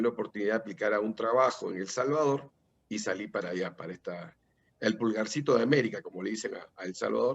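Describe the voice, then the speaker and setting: The speaker is a man with a fairly low pitch. His intonation is lively. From Peru. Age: 60s. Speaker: political candidate. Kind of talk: interview. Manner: halting.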